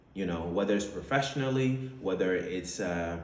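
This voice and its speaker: A man speaks at a moderate pace with a fairly low pitch and ordinary pitch variation. Audible room echo surrounds the voice. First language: French. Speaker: entrepreneur, vlogger. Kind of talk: personal testimony monologue. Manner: casual with many fillers.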